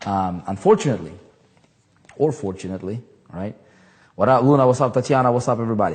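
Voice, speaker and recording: A man, somewhat breathy and animated, at a very fast pace with lively intonation and long, frequent pauses, against a quiet background. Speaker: online marketing trainer. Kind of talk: live stream chat. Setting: livestream.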